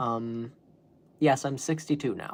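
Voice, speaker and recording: This man's voice sits at a medium pitch and carries vocal fry. His tone is animated. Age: 20s. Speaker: youtuber. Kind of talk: live stream monologue.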